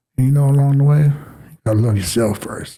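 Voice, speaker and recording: A man speaks at a very fast pace with a fairly high pitch, his tone dark and mellow and somewhat breathy. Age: 60s. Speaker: youth basketball coach and mentor. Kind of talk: interview conversation. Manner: animated, passionate.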